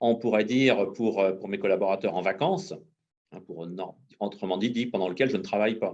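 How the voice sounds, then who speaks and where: A man with a normal speaking voice talks at a fairly quick pace, fairly low in pitch, with ordinary pitch variation. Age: 50s. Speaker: entrepreneur. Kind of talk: testimony.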